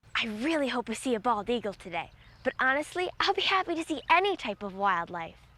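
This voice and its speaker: With noticeable background noise behind it, the voice moves at a fairly quick pace through very wide pitch swings. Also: woman, high pitch for a woman. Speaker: TV outdoors show host. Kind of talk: scripted narration. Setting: outdoors.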